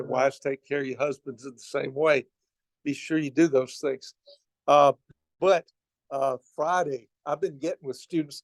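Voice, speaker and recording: A man speaks with a Southern US accent at a fairly high pitch and moderate pace, with fairly even intonation. Long, frequent pauses break up his speech, and the sound is dry and close with no echo. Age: 70s. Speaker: campus minister. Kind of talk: sermon.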